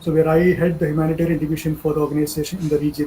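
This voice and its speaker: This man's voice sits high in pitch over noticeable background noise. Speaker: humanitarian aid manager. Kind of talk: online training talk. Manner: fast.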